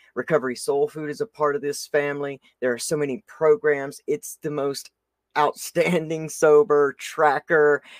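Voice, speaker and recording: A man with a Southern US accent, animated tone, ordinary pitch variation and fairly slow pace, in a very clean recording with a silent background and a dry, close sound with no echo. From US South. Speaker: podcast host. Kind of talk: casual interview chat.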